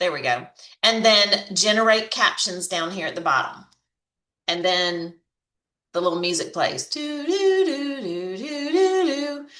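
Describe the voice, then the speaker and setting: A woman with a Southern accent speaks at a fairly slow pace and a medium pitch. Her tone is bright and sharp, with very wide pitch swings. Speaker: online marketing coach. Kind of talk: tutorial. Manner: casual, chatty.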